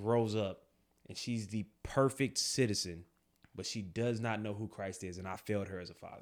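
On a very clean recording with a silent background, a man with a plain, everyday voice keeps fairly even intonation while his volume swings a lot. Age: 30s. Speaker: podcast co-host, army veteran and police officer. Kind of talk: casual chat.

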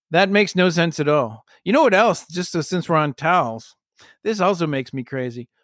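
Talking at a fairly quick pace, a man uses a high pitch and lively intonation. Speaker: podcast host. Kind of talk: casual chat. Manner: playful, glib tone.

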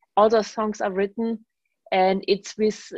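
A woman speaks in a German accent. Her pace is very slow. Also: dry, close sound with no echo. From Germany. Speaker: bass player and composer. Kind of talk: radio interview conversation.

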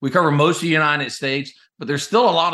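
A man talks very fast with an American accent and a bright, sharp tone. His pitch moves in an ordinary way. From US South, North Carolina. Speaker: company CEO, Navy veteran. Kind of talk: interview.

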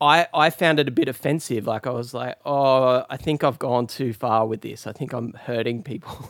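Speaking at a moderate pace with hardly any pauses, a man with an Australian accent uses a medium pitch and ordinary pitch variation. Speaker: guitarist. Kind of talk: interview.

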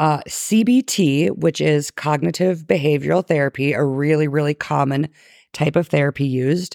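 A woman with a very deep, low pitch speaks in a calm tone at a moderate pace, with ordinary pitch variation and very even loudness. The sound is dry and close with no echo, on a very clean recording with a silent background. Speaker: podcast host. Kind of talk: scripted-style solo podcast narration, casual. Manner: trying to sound calm and free flowing, laughs often.

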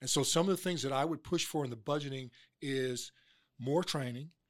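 A man with an American accent and an unremarkable speaking voice, at a fairly quick pace with ordinary pitch variation, on a very clean recording with a silent background. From Oklahoma. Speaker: political candidate, former police officer. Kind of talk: interview.

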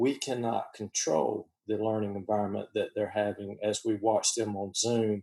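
This man's voice is fairly low with a dark, mellow tone, monotone and flat in intonation, at a moderate pace. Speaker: high school teacher. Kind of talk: casual panel conversation. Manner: loud.

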